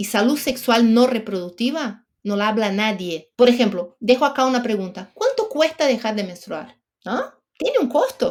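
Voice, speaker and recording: A woman with a Brazilian accent speaks at a moderate pace. Her fairly high-pitched voice has lively intonation. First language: Portuguese (speaking Spanish). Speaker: menopause expert guest. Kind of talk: podcast interview.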